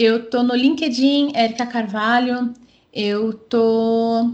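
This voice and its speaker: With ordinary pitch variation, this woman talks in a high-pitched voice. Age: 30s. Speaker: tech community organizer. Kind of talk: interview.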